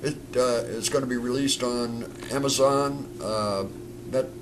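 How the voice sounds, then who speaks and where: Against noticeable background noise and audible room echo, a man talks at medium pitch with ordinary pitch variation. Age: 70s. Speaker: stuntman and film director. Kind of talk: casual interview chat.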